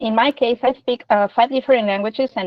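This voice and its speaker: A woman with a Spanish accent talks at a very fast pace. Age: 40s. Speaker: interviewee, multilingual speaker. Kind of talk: interview.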